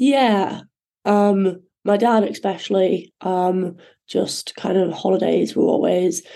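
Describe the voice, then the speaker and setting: Speaking very slowly, a woman uses a Yorkshire accent and a dark, mellow tone. Long, frequent pauses break up her speech. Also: medium pitch for a woman, fairly even intonation. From northern England, North Yorkshire (Thirsk). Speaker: ocean rower and endurance swimmer. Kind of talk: interview. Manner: hesitant, many fillers.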